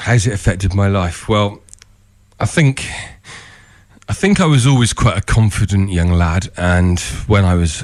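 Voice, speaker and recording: Speaking in a West Country accent, a man has a fairly low pitch with ordinary pitch variation. His pace is moderate. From England, Somerset (Glastonbury area). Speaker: speech coach, person who stammers. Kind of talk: radio interview.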